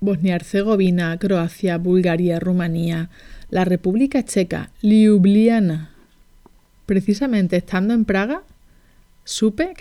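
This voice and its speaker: In a very clean recording with a silent background, a woman with a Spanish accent speaks at a fairly slow pace, her medium-pitched voice dark and mellow in tone, with ordinary pitch variation. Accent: Spanish (Spain), Peninsular. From Barcelona, Spain. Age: 40. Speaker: life coach, podcast host. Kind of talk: personal storytelling monologue.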